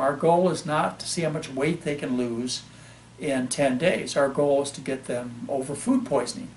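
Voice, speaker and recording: A man speaks at a moderate pace. Noticeable background noise runs beneath him. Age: 60s. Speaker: physician. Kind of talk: interview.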